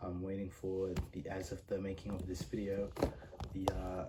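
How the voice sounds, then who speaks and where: A moderate pace over noticeable background noise. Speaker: toy collector reviewer. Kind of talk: product review. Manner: halting, many fillers; casual.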